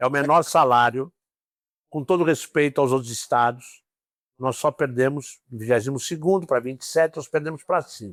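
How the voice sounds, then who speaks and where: A normal speaking voice at a moderate pace, with ordinary pitch variation and big swings in loudness, recorded very cleanly against a silent background with a dry, close sound and no echo. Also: man, fairly high pitch for a man. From São Paulo city, Brazil. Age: 60s. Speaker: police ombudsman. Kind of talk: interview.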